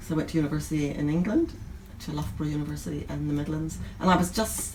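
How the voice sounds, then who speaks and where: A woman with a Northern Irish accent at a very fast pace, with audible room echo. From Northern Ireland, rural County Antrim near Belfast. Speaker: nurse and bookstore owner. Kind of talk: interview. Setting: in a bookstore.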